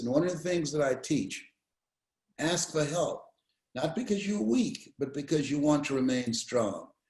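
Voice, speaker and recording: A somewhat breathy man speaks at a fairly slow pace with a fairly high pitch. His intonation is lively. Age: 70s. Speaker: motivational speaker. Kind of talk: interview answer. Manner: energetic.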